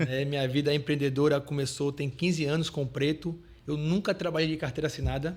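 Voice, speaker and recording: In a somewhat breathy voice, a man speaks at a fairly quick pace with fairly even intonation. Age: 30s. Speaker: entrepreneur. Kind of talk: podcast interview.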